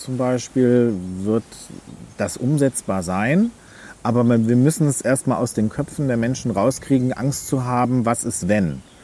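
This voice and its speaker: Ordinary pitch variation and a fairly slow pace come through over noticeable background noise. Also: man. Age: 30s. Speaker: travel agent. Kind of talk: casual interview. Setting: outdoors.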